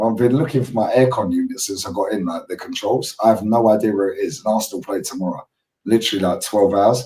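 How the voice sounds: A man puts on a character voice, husky and hoarse at medium pitch, rattling along at a very fast pace.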